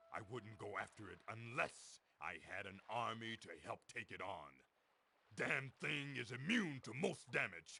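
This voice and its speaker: Putting on a character voice, a man talks at a moderate pace and medium pitch. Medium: video game. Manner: blunt, matter-of-fact.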